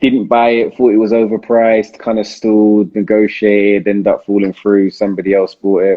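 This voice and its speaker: With a London accent, a man speaks at a fairly low pitch in a monotone, flat way, with very even loudness and hardly any pauses. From South London. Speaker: property investor and live Q&A host. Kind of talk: live Q&A stream. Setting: Instagram live video. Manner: casual, hesitant with many fillers.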